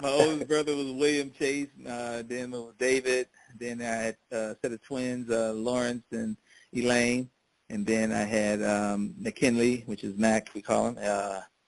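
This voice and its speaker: Recorded with a dry, close sound and no echo, a man speaks in an ordinary speaking voice at medium pitch, with fairly even intonation and a fairly slow pace. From US Midwest, Hammond, Indiana. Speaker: oral history interviewee. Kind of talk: oral history interview.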